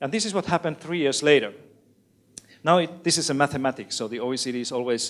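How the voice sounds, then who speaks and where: Speaking with ordinary pitch variation, a man moves along at a fairly quick pace. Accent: Finnish. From Finland. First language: Finnish. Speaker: education expert, author. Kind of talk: lecture.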